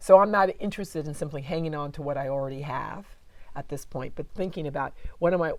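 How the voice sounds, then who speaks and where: A woman's very deep, low voice, very fast, with big swings in loudness. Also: ordinary pitch variation. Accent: American. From United States. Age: 60s. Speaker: cultural geographer. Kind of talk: interview conversation. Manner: reflective, halting.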